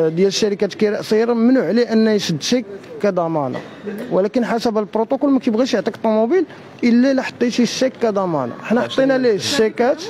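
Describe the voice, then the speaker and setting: Light background noise sits behind a man speaking. His voice is high, and his pace fairly quick. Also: ordinary pitch variation. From Morocco. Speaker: fraud victim. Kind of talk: street interview. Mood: aggrieved, accusatory. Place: street. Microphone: handheld.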